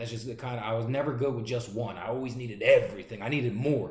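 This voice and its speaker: A man with a Philadelphia accent at a medium pitch, ordinary pitch variation and a very fast pace, amid audible room echo and noticeable background noise. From Pennsylvania, Pottstown and North Philadelphia. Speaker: pastor and recovery advocate. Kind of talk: testimony. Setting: recorded video.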